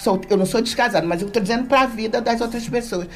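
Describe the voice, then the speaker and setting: A woman speaks over noticeable background noise. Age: 60s. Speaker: social worker. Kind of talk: radio talk show discussion.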